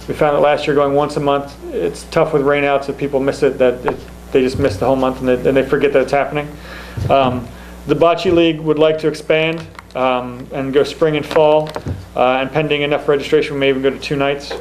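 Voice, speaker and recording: A man's fairly high-pitched voice, fairly quick and flat in intonation, over noticeable background noise. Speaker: town recreation commission chair. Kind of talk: public meeting presentation. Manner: fast; halting, many fillers.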